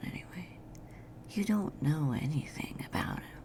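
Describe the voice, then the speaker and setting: Whispering, a woman speaks at a fairly slow pace. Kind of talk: ASMR girlfriend roleplay. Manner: whispered; sleepy, rambling.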